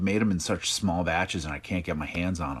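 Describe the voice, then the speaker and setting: A man is speaking. The background is quiet. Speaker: live stream host. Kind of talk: casual live chat. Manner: louder and higher than usual. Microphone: laptop.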